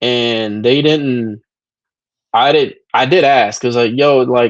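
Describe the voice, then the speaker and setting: A man talks at a very slow pace, his loudness very even. His medium pitch shows ordinary variation. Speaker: stream panel host. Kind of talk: casual chat.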